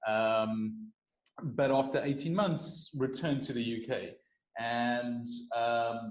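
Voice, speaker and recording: Speaking very slowly with a South African accent, a man uses a medium pitch and ordinary pitch variation. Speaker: startup founder. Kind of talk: interview.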